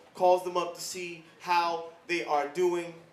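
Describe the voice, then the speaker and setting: A man with a high-pitched voice talks at a very slow pace. Background noise is noticeable throughout. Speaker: spoken word poet. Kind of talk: spoken word poetry performance. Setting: live event.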